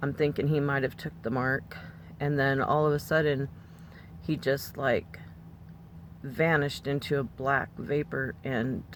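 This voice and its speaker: Using a very deep, low pitch with vocal fry, a woman speaks at a fairly slow pace. Her intonation is lively, broken by long, frequent pauses. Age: 60s. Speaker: religious vlogger. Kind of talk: personal testimony monologue. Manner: casual with many fillers.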